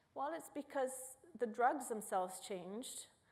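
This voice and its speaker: Audible room echo follows a woman who speaks at a moderate pace, her pitch varying in an ordinary way. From Italy. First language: Italian. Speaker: neuroscience professor. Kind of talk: public lecture. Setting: auditorium with audience.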